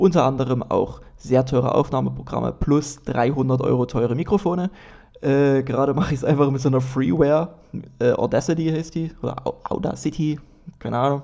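At a fairly quick pace, a man speaks with a fairly high pitch, ordinary pitch variation and a dark, mellow tone. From Dresden, Saxony. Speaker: comedian and podcast host. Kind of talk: solo casual monologue. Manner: casual, many fillers.

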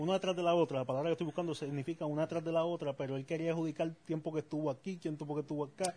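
The voice runs at a very fast pace with hardly any pauses. Its tone is dark and mellow, its intonation monotone and flat. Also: man, fairly high pitch for a man. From Puerto Rico. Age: 30s. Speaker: podcast co-host. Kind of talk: casual chat.

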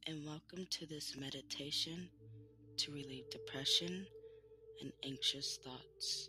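Long, frequent pauses break up a man's speech, which runs at a fairly slow pace. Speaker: meditation guide. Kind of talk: guided meditation. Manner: slow, soothing and calm, with long pauses between gentle instructions; soft-spoken and reassuring.

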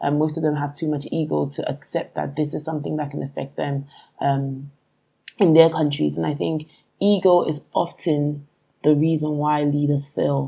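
A dark, mellow tone carries the words at a medium tempo, with intonation that stays fairly level. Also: woman, very deep, low pitch for a woman. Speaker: company founder. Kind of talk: panel discussion.

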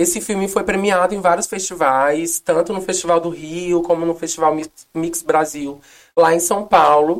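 This woman talks at a moderate pace in a very deep, low pitch. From Northeast Brazil. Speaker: actress and activist. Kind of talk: casual interview. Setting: studio. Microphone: too far from the mic.

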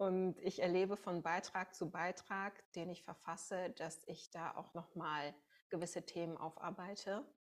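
A woman speaks fairly slowly in an ordinary speaking voice. Her fairly low pitch keeps a fairly even intonation. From Münsterland, Germany. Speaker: podcast host. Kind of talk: podcast interview.

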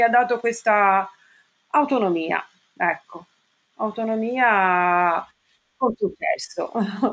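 A woman's medium-pitched voice at a very slow pace, with ordinary pitch variation. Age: 50s. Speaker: office worker, client sharing weight-loss story. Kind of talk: interview testimony.

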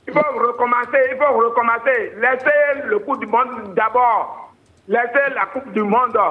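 A man's extremely high pitch, fairly even in intonation and fairly slow in pace, over noticeable background noise. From Benin, Ouidah. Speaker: caller. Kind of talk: phone call to radio show. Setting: phone call.

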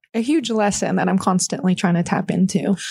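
With an American accent, a woman speaks at a fairly quick pace in a medium pitch, with vocal fry, ordinary pitch variation, and a dry, close sound with no echo. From Texas, small town near Austin. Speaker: pro obstacle racer and tattoo artist. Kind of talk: casual interview chat.

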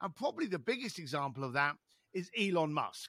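A man's raised, projected voice, high in pitch and bright and sharp in tone, with very wide pitch swings and a fairly quick pace, dry and close with no echo on a very clean recording over a silent background. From East London. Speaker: author and speaker. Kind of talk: casual interview.

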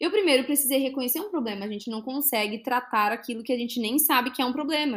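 In a very clean recording with a silent background, a woman speaks very fast in a high voice, with ordinary pitch variation and hardly any pauses. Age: 20s. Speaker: financial educator and podcast host. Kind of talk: solo podcast monologue.

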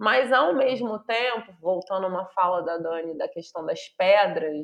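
A woman with an unremarkable speaking voice talks at a fairly slow pace. Her pitch is fairly low, with ordinary pitch variation. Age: 40s. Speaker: university professor. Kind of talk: interview conversation.

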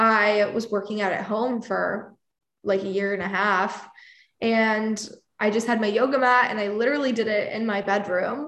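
Her pitch is fairly high and her intonation fairly even as this woman speaks at a moderate pace. Some room echo can be heard. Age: 20s. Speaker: actress, influencer and music PR consultant. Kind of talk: casual interview.

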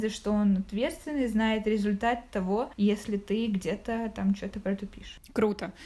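A woman with a fairly high pitch and a dark, mellow, somewhat breathy tone speaks with ordinary pitch variation. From Ukraine, Zaporizhzhia. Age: 20s. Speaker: podcast guest, corporate manager. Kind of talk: casual chat. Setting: call.

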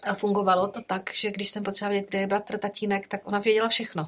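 Fairly quick and monotone, with flat intonation, a woman talks at a medium pitch. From rural Czechia, village. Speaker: nun, educator and carer. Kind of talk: casual interview.

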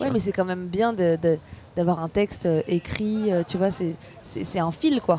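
A woman of medium pitch speaks at a very slow pace with ordinary pitch variation against noticeable background noise. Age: 30s. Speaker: stand-up comedian. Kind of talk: casual chat.

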